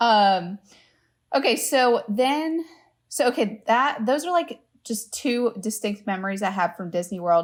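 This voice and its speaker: A woman with an American accent speaks at a fairly slow pace, in a normal speaking voice. Her pitch is fairly high and her intonation lively. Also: very clean recording, silent background. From US South, Louisiana. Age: 20s. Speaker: travel agent. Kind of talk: casual chat.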